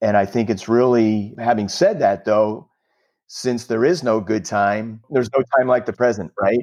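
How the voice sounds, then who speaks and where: Against a quiet background, a man with an American accent speaks in a plain, everyday voice at medium pitch and moderate pace, with ordinary pitch variation and very even loudness. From New Jersey. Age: 50s. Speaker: franchise consultant. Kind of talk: interview.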